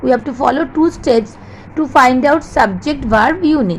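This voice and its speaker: A woman speaks at a high pitch with lively intonation. Background noise is noticeable. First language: not English. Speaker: English teacher. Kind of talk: lecture. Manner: slow.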